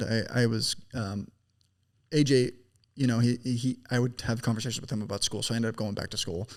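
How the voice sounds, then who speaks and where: Talking at a very fast pace, a man at medium pitch keeps fairly even intonation in a very clean recording with a silent background. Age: 20s. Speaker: business founder. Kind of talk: casual chat.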